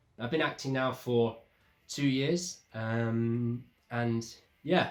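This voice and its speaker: With fairly even intonation, a man speaks at a medium pitch in an ordinary speaking voice. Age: 30s. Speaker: actor. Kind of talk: interview.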